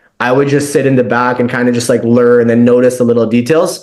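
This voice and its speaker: The speaker has a Canadian accent and talks at a fairly quick pace with monotone, flat intonation. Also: man. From Ontario, Canada (Mississauga). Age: 20s. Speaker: startup founder. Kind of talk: interview. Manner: casual, filler-heavy.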